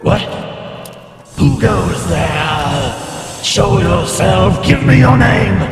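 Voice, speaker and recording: Using a put-on character voice at a medium pitch, a man speaks at a very slow pace with strong echo and faint music in the background. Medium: actual play. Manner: terse, formal.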